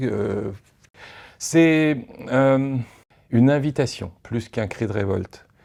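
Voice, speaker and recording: This man's voice has a dark, mellow tone with ordinary pitch variation. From Paris, France. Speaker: documentary filmmaker. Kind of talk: interview. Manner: hesitant, many fillers.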